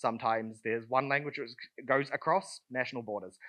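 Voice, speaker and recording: A man speaks with a New Zealand accent. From southern New Zealand. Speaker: conference speaker. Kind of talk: conference talk. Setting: stage with audience. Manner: casual, many fillers.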